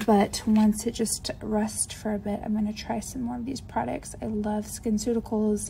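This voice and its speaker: Pitched fairly high, a woman's voice moves at a moderate pace. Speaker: beauty influencer. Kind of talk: makeup haul unboxing. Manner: enthusiastic, upbeat.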